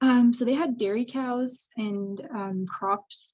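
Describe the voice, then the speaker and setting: With a Canadian accent, a woman speaks in a somewhat breathy voice. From rural Eastern Ontario, Canada. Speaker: public health evaluator. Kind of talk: casual interview. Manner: frequent fillers (like, um).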